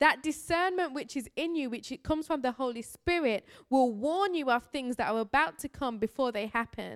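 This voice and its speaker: Recorded very cleanly against a silent background, a woman speaks in a high pitch with lively intonation, the sound dry and close with no echo. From Birmingham, England. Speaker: missionary preacher. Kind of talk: sermon. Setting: church.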